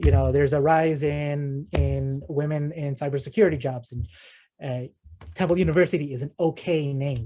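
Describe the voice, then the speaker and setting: This man's voice is somewhat breathy and fairly high in pitch, with a dark, mellow tone. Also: ordinary pitch variation. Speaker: guest speaker on data visualization. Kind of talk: Q&A after a talk. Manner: fast; halting, many fillers and repetitions.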